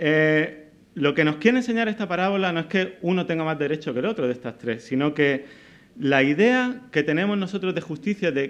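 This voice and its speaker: A man talks with lively intonation. His pace is fairly quick. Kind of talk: conference talk. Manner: halting, repeats words.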